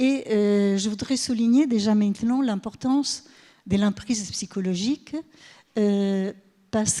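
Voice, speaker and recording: A woman of medium pitch speaks with a dark, mellow tone and ordinary pitch variation on a very clean recording with a silent background. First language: Italian (speaking French). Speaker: professor. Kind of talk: conference talk. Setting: stage with audience. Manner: halting.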